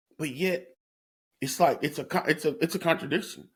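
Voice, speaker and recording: Vocal fry runs through this man's voice as he talks at a fairly quick pace. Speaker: podcast host. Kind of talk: solo podcast monologue. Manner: halting, repeats words.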